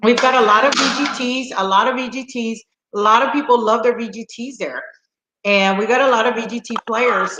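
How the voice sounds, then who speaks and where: A woman talks at a moderate pace in a high pitch. Her tone is animated, bright and sharp. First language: Spanish. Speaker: slot channel host. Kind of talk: casual chat. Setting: live stream.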